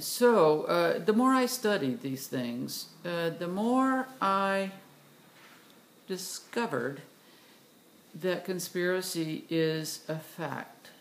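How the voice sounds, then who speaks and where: Very wide pitch swings mark this very slow delivery, full of long, frequent pauses and audible room echo. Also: woman. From US South, Tennessee. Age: 60s. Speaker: vlogger, retired doctor. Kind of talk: personal video monologue. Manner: halting, many fillers.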